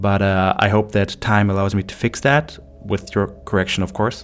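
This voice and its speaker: Speaking with a non-native accent, a man keeps a fairly low pitch, a moderate pace and fairly even intonation. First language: not English. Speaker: medical doctor and narrator. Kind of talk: scripted narration; casual outro.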